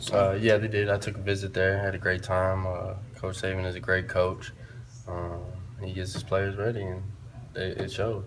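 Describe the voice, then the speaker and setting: In a room with audible echo, a man with a very deep, low pitch speaks at a moderate pace in a flat monotone. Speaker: college football quarterback. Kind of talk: press conference. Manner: loud; hesitant, many fillers.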